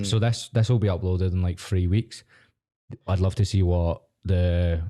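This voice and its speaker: Speaking in a Scottish accent, a man with a very deep, low pitch and a dark, mellow tone keeps his loudness very even at a moderate pace. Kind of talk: casual podcast conversation.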